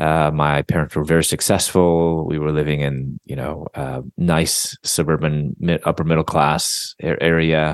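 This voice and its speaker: A man's very deep, low voice in a dry, close sound with no echo. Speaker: Bible teacher and author. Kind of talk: interview. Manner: halting.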